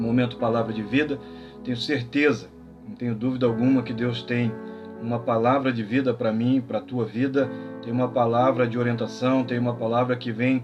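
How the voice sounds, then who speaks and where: With music in the background, a man at medium pitch speaks at a moderate pace in a calm tone with fairly even intonation. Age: 40s. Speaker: pastor. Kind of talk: sermon. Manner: calm, measured.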